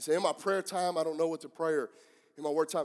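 A man speaks in a high voice with a Southern US accent. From US Southeast. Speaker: pastor. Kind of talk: sermon. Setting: church service with live congregation.

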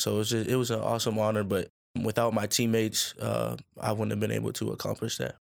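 A man talks at a fairly quick pace in a fairly low voice with monotone, flat intonation. The recording is very clean, with a silent background. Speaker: college football player. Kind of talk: interview.

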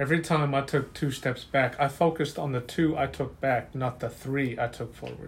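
In an American accent, a man with a fairly high pitch and a somewhat breathy voice speaks at a moderate pace in a monotone, flat intonation with hardly any pauses. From Utah. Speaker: social worker and military veteran, survivor. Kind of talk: testimony.

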